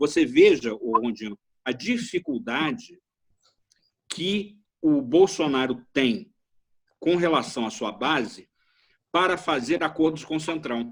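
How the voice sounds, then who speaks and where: A man speaks very slowly, with long, frequent pauses. His fairly high voice swings very widely in pitch. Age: 60s. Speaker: retired political science professor. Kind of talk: interview discussion. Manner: halting, many repetitions.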